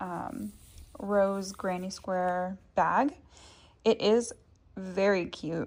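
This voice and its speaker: This woman's voice has a medium pitch. Her pace is very slow. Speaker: crochet tutorial creator. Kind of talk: tutorial. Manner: casual, many filler ums.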